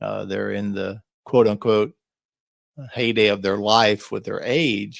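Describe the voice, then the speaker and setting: A man is speaking. His pace is very slow. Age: 60s. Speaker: lifestyle vlogger. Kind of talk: solo podcast reflection. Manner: casual conversational.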